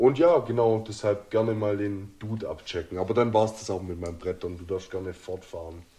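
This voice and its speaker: The voice has a dark, mellow tone, somewhat breathy, moving at a fairly quick pace with hardly any pauses and ordinary pitch variation. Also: man, fairly low pitch for a man. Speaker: podcast co-host. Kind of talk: casual chat.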